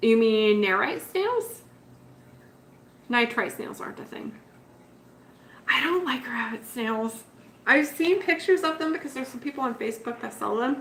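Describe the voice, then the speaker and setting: A woman talks in a high voice with lively intonation and big swings in loudness. Long pauses come often. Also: moderate pace. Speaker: betta fish keeper livestreaming. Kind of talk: casual livestream chat. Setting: live stream.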